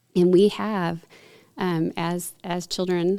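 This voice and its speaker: In a very clean recording with a silent background, a woman with a Texas accent speaks in a fairly low pitch with a dark, mellow tone and monotone, flat intonation. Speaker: podcast host. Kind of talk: casual chat. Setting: studio.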